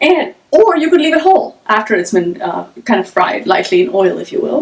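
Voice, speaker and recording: A woman speaks loudly in a high pitch. Her voice swings very widely in pitch. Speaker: cooking teacher. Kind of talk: live-streamed cooking class. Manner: fast when excited.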